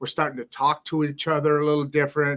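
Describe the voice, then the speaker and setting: A fairly quick pace from a man with a fairly high pitch. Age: 60s. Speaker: podcast host. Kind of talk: casual chat. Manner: animated.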